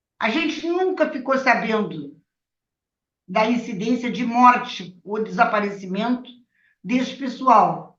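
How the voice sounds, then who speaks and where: With audible room echo, a woman speaks very slowly at a high pitch with lively intonation. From Rio Grande do Sul, Brazil (Bagé). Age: 70s. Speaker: retired labour judge, former resistance activist. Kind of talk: testimony.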